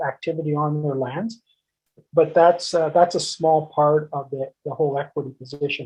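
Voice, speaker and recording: A man talks with a Canadian accent at a fairly high pitch. His voice is somewhat breathy, and his intonation fairly even. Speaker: mining executive and former First Nation chief. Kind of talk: webinar talk. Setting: dialing in remotely. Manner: hesitant, many fillers.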